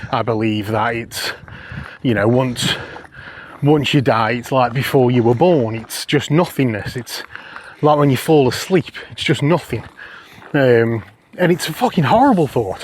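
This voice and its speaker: Amid noticeable background noise, a man speaks fairly slowly at a medium pitch with ordinary pitch variation, pausing often and at length. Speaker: podcast host. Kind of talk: casual chat. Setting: outdoors.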